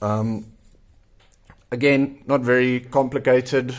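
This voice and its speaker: A man with a South African accent at a fairly slow pace, fairly even intonation, in a very clean recording with a silent background. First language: Afrikaans. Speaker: zine maker and YouTuber. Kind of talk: tutorial. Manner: casual with frequent fillers.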